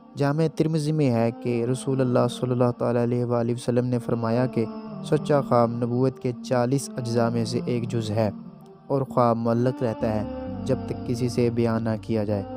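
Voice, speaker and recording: Fairly even intonation over music in the background. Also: man, medium pitch for a man. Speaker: voice-over artist. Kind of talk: Islamic religious narration.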